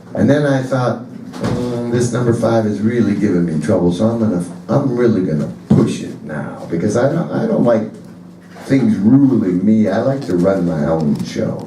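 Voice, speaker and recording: With an American accent, a man with a fairly low pitch speaks at a moderate pace with lively intonation, amid noticeable background noise and audible room echo. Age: 60s. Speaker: blues musician. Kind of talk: stage banter. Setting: stage with audience.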